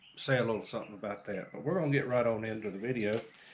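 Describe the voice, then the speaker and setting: The speaker has a North Carolina accent. Room echo is audible. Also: man. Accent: Southern US (North Carolina). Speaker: small farmer and vlogger. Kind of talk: casual chat. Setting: outdoors on a porch.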